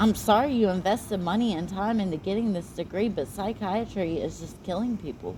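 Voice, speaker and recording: A woman of medium pitch speaks in a somewhat breathy voice at a moderate pace, with ordinary pitch variation. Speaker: psychiatric patient. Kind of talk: heated argument. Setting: recorded meeting.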